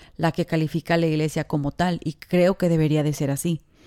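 This woman's voice has a dark, mellow tone and a monotone, flat delivery, recorded dry and close with no echo. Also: very clean recording, silent background. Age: 20s. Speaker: podcast co-host. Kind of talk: casual chat.

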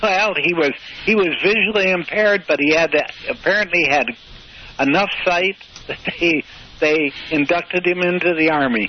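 A man with an American accent speaks at a moderate pace in a high pitch, with ordinary pitch variation and long, frequent pauses. Noticeable background noise runs under his voice. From US Midwest, Michigan. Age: 80s+. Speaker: retired sailor, blind school graduate. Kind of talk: interview. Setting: phone call. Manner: halting.

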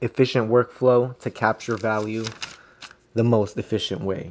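With a normal speaking voice, a man talks at a moderate pace, medium in pitch, with fairly even intonation. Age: 20s. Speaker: podcaster. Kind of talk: solo monologue. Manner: rambling, stream of consciousness.

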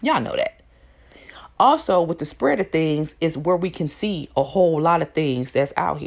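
A woman with an American accent speaks at a moderate pace, her fairly low pitch showing ordinary variation. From US Midwest, Indiana. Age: 30s. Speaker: podcast host and life coach. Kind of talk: casual monologue. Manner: animated.

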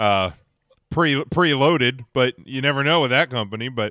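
In an ordinary speaking voice, a man speaks at a medium pitch and a moderate pace. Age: 30s. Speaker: wrestling podcast co-host. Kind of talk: casual chat.

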